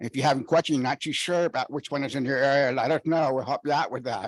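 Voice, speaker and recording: Close and dry, the recording has no echo. A man speaks with ordinary pitch variation. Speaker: independent living center staff, deaf. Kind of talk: conference panel talk. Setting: conference stage with microphone. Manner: loud.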